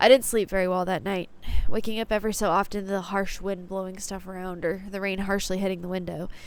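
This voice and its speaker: A woman talks very fast at a medium pitch with monotone, flat intonation. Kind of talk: personal story talk to camera. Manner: some stuttering.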